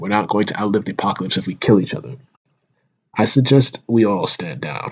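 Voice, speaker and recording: A man puts on a raspy character voice. He talks at a fairly quick pace and a fairly low pitch. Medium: solo performance.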